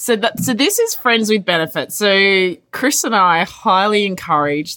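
Very wide pitch swings mark this voice with an Australian accent. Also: woman, very clean recording, silent background. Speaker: podcast host. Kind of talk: casual chat.

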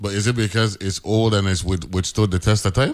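With an American accent, a man in an unremarkable speaking voice talks at a fairly quick pace and a fairly low pitch, recorded very cleanly with a silent background. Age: 50s. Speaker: radio host. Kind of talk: casual chat.

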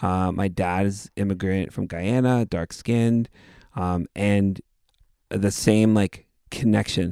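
In a Canadian accent, a dark, mellow voice speaks very slowly with fairly even intonation, the recording dry, close and very clean over a silent background. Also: man, fairly low pitch for a man. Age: 30s. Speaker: podcast host and musician. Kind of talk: casual interview conversation.

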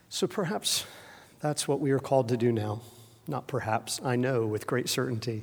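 This man has a medium-pitched voice with ordinary pitch variation. He speaks at a fairly slow pace. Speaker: preacher. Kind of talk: sermon.

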